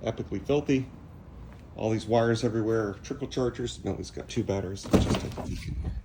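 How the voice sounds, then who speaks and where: There is noticeable background noise as a man with medium pitch talks at a very fast pace. His pitch varies in an ordinary way. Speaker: DIY car repair vlogger. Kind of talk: casual DIY tutorial vlog. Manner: casual, relaxed.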